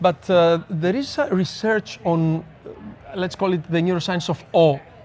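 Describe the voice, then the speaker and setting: Amid noticeable background noise, a man with a Greek accent speaks at a moderate pace and a high pitch, with ordinary pitch variation. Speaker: neuroscience speaker and researcher. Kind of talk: casual interview chat. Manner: halting, frequent stammers and restarts.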